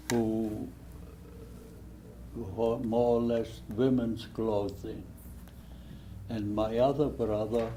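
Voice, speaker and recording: In a German accent, a man speaks very slowly at a fairly low pitch with fairly even intonation. Audible room echo surrounds the voice. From Germany (Hesse, rural village). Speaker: Holocaust survivor. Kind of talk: testimony.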